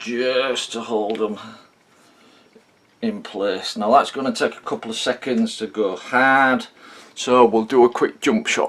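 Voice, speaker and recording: Speaking at a fairly slow pace with long, frequent pauses, a man uses a medium pitch and ordinary pitch variation. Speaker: hobbyist video maker. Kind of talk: tutorial. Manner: slow, deliberate.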